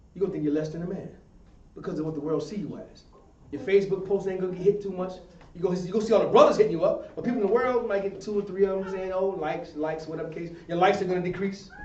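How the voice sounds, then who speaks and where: A man with a high pitch and an animated tone speaks at a very fast pace with big swings in loudness, amid audible room echo and noticeable background noise. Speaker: religious class teacher. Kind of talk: sermon-style class discussion.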